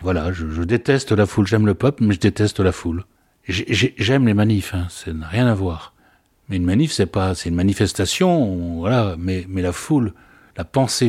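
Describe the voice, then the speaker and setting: In a very clean recording with a silent background, a man with an unremarkable speaking voice talks at a fairly low pitch with ordinary pitch variation. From Algeria (Oran), pied-noir. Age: 60s. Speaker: father recounting childhood memories. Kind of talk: personal testimony interview.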